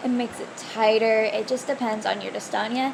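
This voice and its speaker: Noticeable background noise accompanies a woman whose voice sits at a high pitch. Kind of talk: casual Q&A vlog.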